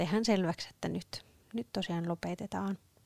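In a very clean recording with a silent background and a dry, close sound with no echo, a woman with an ordinary speaking voice talks at a moderate pace and a fairly low pitch. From Northern Ostrobothnia, Finland (Sievi). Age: 20s. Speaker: podcast co-host, church musician. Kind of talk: casual chat.

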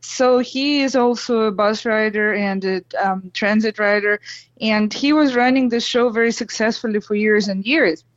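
In a Russian accent, a woman speaks at a moderate pace with fairly even intonation. Her pitch is fairly high. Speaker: blogger, storyteller. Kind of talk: casual storytelling. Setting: phone call.

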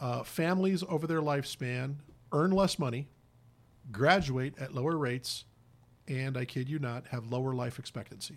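A man with an American accent has an unremarkable speaking voice. He talks at a moderate pace in a fairly high pitch with ordinary pitch variation. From Indiana (Hammond, Chicago area). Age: 50s. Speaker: nonprofit executive, former priest. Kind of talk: radio interview. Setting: radio studio.

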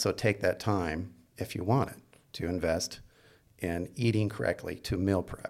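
A man with a normal speaking voice and fairly low pitch talks at a moderate pace with fairly even intonation, in a very clean recording over a silent background. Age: 50s. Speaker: fitness trainer and podcast co-host. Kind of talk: casual chat.

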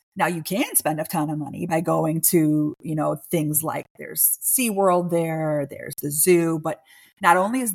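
A woman talks at a fairly slow pace in a fairly low pitch with ordinary pitch variation, in an unremarkable speaking voice. The recording is very clean, with a silent background. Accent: American. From Chicago. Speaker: travel advisor. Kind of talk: casual interview.

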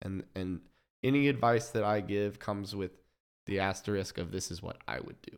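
In an American accent, a man speaks at a fairly low pitch and a fairly quick pace with ordinary pitch variation. The recording is very clean, with a silent background. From Kansas City area, US Midwest. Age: 20s. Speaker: DJ and event producer. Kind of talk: casual interview.

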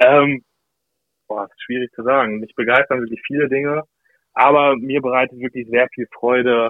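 The delivery is monotone and flat at a moderate pace, broken by long, frequent pauses. Loudness swings widely throughout. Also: man, medium pitch for a man. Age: 20s. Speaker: customer account manager. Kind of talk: casual chat. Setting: remote call.

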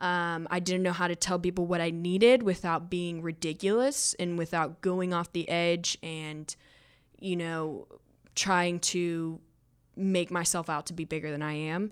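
Speaking at a fairly slow pace with a Southern US accent, a woman uses a fairly low pitch and fairly even intonation on a very clean recording with a silent background. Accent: Southern US (Georgia). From North Georgia, US South. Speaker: person in addiction recovery. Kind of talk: casual chat. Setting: studio.

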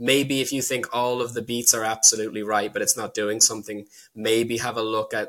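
In a Dublin accent, a man of medium pitch speaks with monotone, flat intonation and a bright, sharp tone. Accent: Dublin Irish. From Ireland, Dublin. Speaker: filmmaker. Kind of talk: casual chat. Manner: halting.

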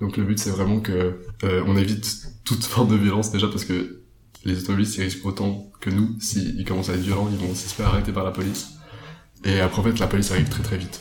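Over noticeable background noise and audible room echo, a man speaks at a very fast pace. His pitch is fairly low, and his intonation is monotone and flat. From French-speaking Switzerland, Lavaux (Vaud). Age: 20s. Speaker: climate activist and agronomy student. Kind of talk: casual interview.

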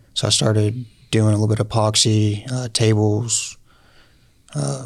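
A man's fairly low, somewhat breathy voice with an American accent, ordinary pitch variation and a moderate pace. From Oklahoma, Lawton area. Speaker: entrepreneur, door-to-door salesman. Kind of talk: casual interview. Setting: studio.

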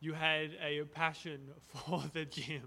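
A man speaks with an Australian accent. His fairly high voice has a bright, sharp tone. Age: 20s. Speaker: podcast host. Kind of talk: casual chat.

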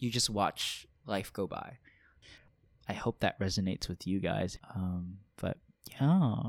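In a very clean recording with a silent background and a dry, close sound with no echo, a man with a fairly low pitch speaks at a very slow pace, with long, frequent pauses and ordinary pitch variation. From Hawaii. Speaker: podcast co-host, medical scribe. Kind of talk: casual chat.

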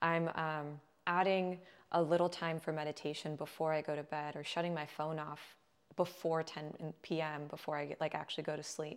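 Her voice is very deep and low, in a Californian accent. This woman keeps a moderate pace and a monotone, flat intonation. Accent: Californian American. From Southern California. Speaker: holistic health coach. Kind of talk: casual interview.

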